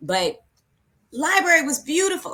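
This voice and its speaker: Speaking with an American accent, a woman uses a bright, sharp tone and lively intonation. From California. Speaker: school librarian. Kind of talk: webinar presentation. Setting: pre-recorded video session. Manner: hurried; mumbling.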